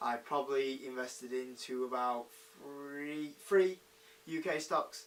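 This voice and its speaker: Speaking at a fairly slow pace, a man with a British accent has a fairly high pitch. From UK. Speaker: investing YouTuber. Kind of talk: casual talk to camera. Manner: hesitant, many fillers.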